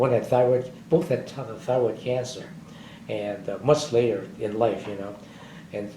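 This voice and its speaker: A man's medium-pitched, somewhat breathy voice with a dark, mellow tone, ordinary pitch variation, a moderate pace and audible room echo. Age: 80s+. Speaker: war veteran. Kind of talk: oral history interview. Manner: halting.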